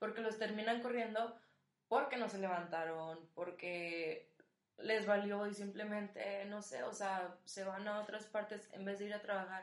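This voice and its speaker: A woman speaks at a fairly slow pace in a medium pitch, her intonation fairly even, with audible room echo. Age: 20s. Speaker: student and rugby coach. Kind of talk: casual chat.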